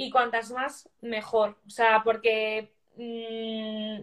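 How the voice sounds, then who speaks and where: This woman's voice sits at a fairly high pitch. Her tone is bright and sharp. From Spain. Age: 20s. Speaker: life coach and holistic therapist. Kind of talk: interview.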